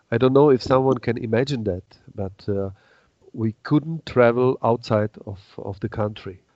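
A man with a Czech accent speaks in a medium pitch with ordinary pitch variation. His pace is moderate. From Czech Republic. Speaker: paraglider manufacturer and designer. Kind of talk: casual interview. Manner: halting.

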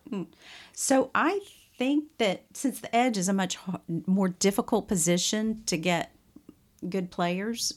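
Recorded very cleanly against a silent background, a woman with a Southern US accent speaks in a medium pitch with ordinary pitch variation. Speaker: podcast co-host. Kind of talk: casual chat.

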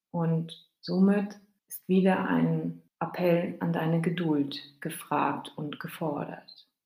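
A woman's fairly low, warm voice at a very slow pace, with fairly even intonation, big swings in loudness and audible room echo. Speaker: grief podcast host. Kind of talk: solo podcast monologue to listener. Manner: warm, personal direct address.

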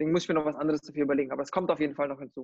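This man's voice sits at a fairly high pitch. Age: 30s. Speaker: recruitment company founder, gamer. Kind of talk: interview. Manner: halting, many fillers.

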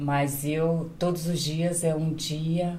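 With audible room echo, a woman speaks in a very deep, low pitch, her somewhat breathy voice dark and mellow in tone. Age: 50s. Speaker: domestic worker and caregiver. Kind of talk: casual chat.

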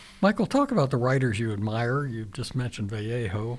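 A man with an American accent speaks at a fairly quick pace in a medium pitch, somewhat breathy, with ordinary pitch variation. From Virginia. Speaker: radio host. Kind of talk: radio interview. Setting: radio studio.

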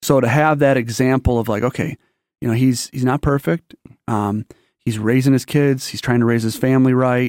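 A man with an American accent has a plain, everyday voice, medium in pitch and fairly even in intonation, at a moderate pace. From Michigan, Detroit area. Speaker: military veteran, church member. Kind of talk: casual interview, life story testimony.

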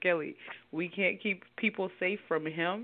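A woman with an unremarkable speaking voice, medium pitch and a moderate pace. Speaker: podcast host. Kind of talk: casual chat among friends. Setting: phone call with co-hosts.

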